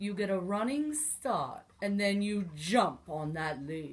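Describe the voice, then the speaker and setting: A put-on character voice, female-sounding, at middle pitch and a fairly slow pace. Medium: read story. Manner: gruff, dry.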